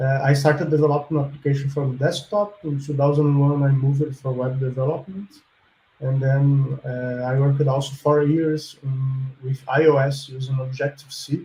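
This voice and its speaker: A man's flat, monotone delivery at a moderate pace, with a Portuguese accent. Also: fairly high pitch for a man. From Brazil. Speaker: software developer and student. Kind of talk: interview answers.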